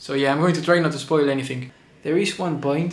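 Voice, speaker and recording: A man speaks at a fairly quick pace with a non-native accent. His intonation stays fairly even, and there is audible room echo. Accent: non-native English speaker. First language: Spanish. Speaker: movie reviewer. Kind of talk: casual video review monologue. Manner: halting, repeats words.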